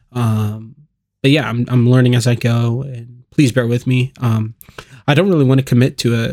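A plain, everyday voice at a fairly quick pace, dry and close with no echo. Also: man. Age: 20s. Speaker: podcast host and church volunteer. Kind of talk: casual chat.

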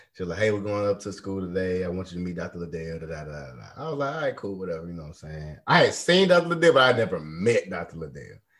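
This man has a very deep, low voice and an American accent. He speaks at a fairly quick pace with lively intonation and big swings in loudness. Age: 30s. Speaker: podcast host. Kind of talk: casual chat. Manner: animated.

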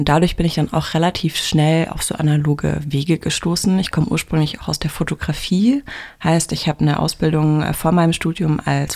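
Pitched very deep and low, a woman speaks at a moderate pace with fairly even intonation. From Heidelberg-Mannheim region, Germany. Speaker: graphic designer and university lecturer. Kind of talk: interview.

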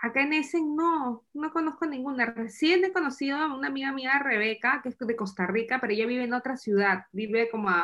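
With a Peruvian accent, a woman talks at a moderate pace in a high pitch with lively intonation. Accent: Peruvian Spanish (Lima). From Peru, Lima. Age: 30s. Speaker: immigrant mother. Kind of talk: interview.

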